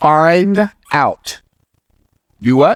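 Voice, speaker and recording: Fairly high-pitched and animated, a man speaks at a fairly slow pace. The sound is dry and close, with no echo. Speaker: business teacher and author. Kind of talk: motivational lecture. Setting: in front of a whiteboard.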